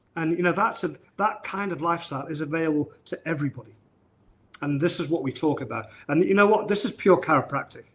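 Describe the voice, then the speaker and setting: A man speaks with a northern English accent at a fairly quick pace. His pitch is fairly high. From northern England. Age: 60s. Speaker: chiropractor. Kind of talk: live-streamed interview. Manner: halting, many repetitions.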